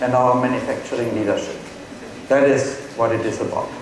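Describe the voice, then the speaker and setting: The speaker has a German accent. Noticeable background noise and audible room echo are present. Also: man. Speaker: tech company executive. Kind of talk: press conference presentation. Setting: stage with audience.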